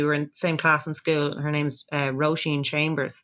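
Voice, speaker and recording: Here a woman is speaking. She has a Dublin accent. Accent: Dublin Irish. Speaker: folk singer. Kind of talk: casual chat.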